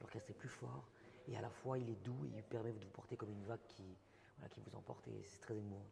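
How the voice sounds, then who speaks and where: Here a man speaks at a fairly low pitch. His voice is somewhat breathy. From French Basque Country. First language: Basque (speaking French). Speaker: singer. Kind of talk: interview. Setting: hotel, during music video shoot.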